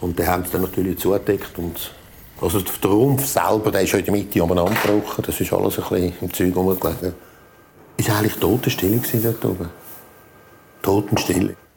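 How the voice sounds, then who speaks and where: With long, frequent pauses, a man talks at a fairly quick pace in a very deep, low pitch and fairly even intonation, against noticeable background noise. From Switzerland, Zurich area. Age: 60s. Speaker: volunteer firefighter. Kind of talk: interview recollection. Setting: at home, dining table.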